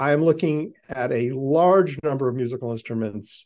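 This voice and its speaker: Here is a plain, everyday voice. A man with an American accent speaks at a medium pitch and a moderate pace. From US Northeast, Boston. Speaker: podcast host. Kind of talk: interview. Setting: video call.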